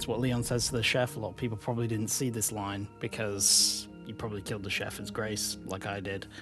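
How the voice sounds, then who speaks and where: A man at a fairly low pitch and moderate pace, fairly even in intonation, with music in the background. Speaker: gaming YouTuber. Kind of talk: casual gameplay commentary voice-over. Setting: home recording, low-quality mic. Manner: rambling, with filler words.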